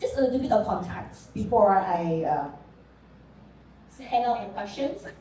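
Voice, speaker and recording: With audible room echo, a woman at a medium pitch talks at a moderate pace, her intonation lively and broken by long, frequent pauses. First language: Mandarin. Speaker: panel moderator. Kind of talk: panel discussion.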